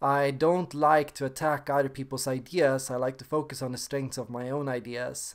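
A man at medium pitch with monotone, flat intonation, a moderate pace and hardly any pauses, against a quiet background. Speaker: personality type video maker. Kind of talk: casual talk to camera. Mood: calm, reflective. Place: home room. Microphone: webcam.

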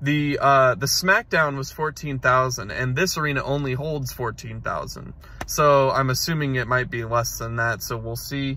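A man at a fairly slow pace, fairly even intonation, dry sound with no echo. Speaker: vlogger. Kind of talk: casual vlog chat. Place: car. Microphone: phone near.

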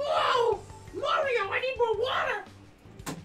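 Someone uses a put-on character voice at an extremely high pitch, speaking very slowly.

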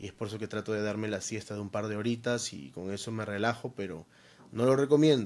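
A man's voice with ordinary pitch variation. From Peru. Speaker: DJ and content creator; podcast guest. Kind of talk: casual interview. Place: home room. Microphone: studio mic.

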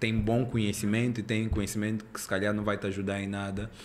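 Over light background noise, a man speaks in a fairly low pitch. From Angola. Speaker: podcast host. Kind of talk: podcast interview. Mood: relaxed, friendly. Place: studio. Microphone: studio mic.

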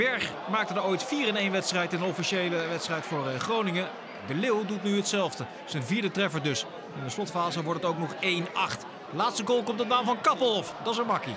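Over noticeable background noise, a man with a high pitch for a man uses a raised, projected voice and lively intonation at a moderate pace. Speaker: football commentator. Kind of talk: match commentary.

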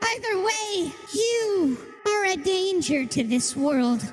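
Clear music plays in the background. The voice moves in very wide pitch swings. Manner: grave, accusing.

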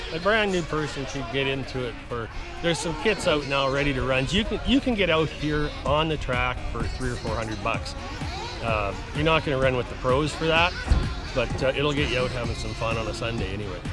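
A man speaks fairly quickly while clear music plays behind him. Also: dry sound with no echo. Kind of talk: interview answer. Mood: relaxed, friendly. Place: waterside.

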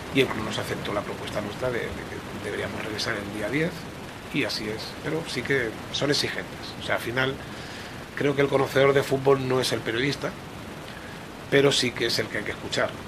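Amid noticeable background noise, the speech runs at a fairly quick pace broken by long, frequent pauses. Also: man. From Catalonia, Spain. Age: 40s. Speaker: football coach. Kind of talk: interview. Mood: calm, reflective. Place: office. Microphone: podium.

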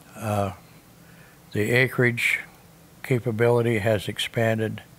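With an American accent, a man talks at a fairly slow pace in a monotone, flat intonation, with light background noise behind him. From US Midwest. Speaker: seed corn farmer. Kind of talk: interview answer. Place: home room.

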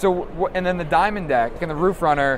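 Amid clear background noise, a man talks at a fairly quick pace with a fairly high pitch and ordinary pitch variation.

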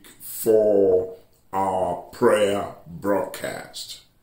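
A man speaks in a room with audible echo and a quiet background. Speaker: church bishop preacher. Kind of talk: sermon announcements.

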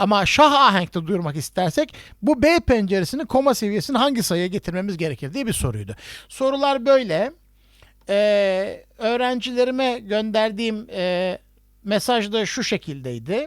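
A man's voice, high in pitch, moves with lively intonation. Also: moderate pace. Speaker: music professor. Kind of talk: online lecture. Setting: video call. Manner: halting, many fillers.

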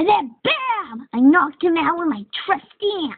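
A woman puts on a character voice at an extremely high pitch, swinging very widely up and down. Her pace is moderate. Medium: dub. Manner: boastful.

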